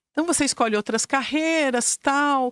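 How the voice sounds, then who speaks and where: On a very clean recording with a silent background, a woman with a German accent speaks with lively intonation. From Brazil, Curitiba. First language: German (speaking Portuguese). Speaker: school director and educator. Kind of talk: interview.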